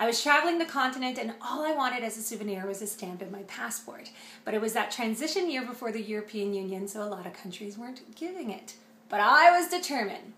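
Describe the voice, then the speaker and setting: A woman's animated, fairly high voice with a Canadian accent, lively intonation and a fairly quick pace, with audible room echo. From Canada. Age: 30s. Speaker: radio personality. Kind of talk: audition reel.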